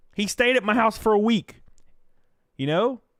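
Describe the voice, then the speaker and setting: In a Southern US accent, a man speaks at a high pitch. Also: dry, close sound with no echo. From backwoods Alabama. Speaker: streamer.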